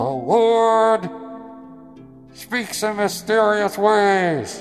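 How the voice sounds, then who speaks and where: A man speaks in a put-on character voice, high-pitched and very slow, with ordinary pitch variation and clear music in the background. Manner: mock-solemn, comedic.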